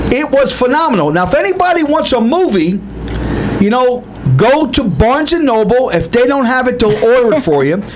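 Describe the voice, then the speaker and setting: A man with an extremely high pitch and an animated tone speaks at a fairly quick pace, his pitch swinging very widely and his loudness very even. Noticeable background noise and audible room echo fill the recording. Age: 60s. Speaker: co-host of a variety talk show. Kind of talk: casual chat.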